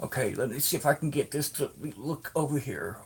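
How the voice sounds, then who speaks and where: The speaker has vocal fry and keeps a moderate pace. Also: man. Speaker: crochet vlogger. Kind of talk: tutorial. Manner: halting.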